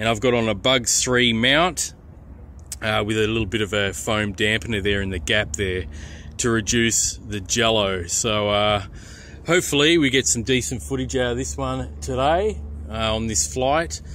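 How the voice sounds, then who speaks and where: A man with a fairly low pitch has a bright, sharp tone, vocal fry, and very wide pitch swings, in a dry sound with no echo and light background noise. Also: moderate pace. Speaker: hobby drone reviewer. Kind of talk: casual review narration. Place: open country. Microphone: phone near.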